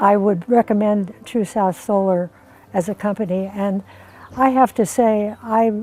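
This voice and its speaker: Music plays behind a woman speaking at a fairly slow pace. Her pitch is medium, with ordinary variation. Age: 80s+. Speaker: solar customer. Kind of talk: customer testimonial interview. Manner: hesitant, conversational.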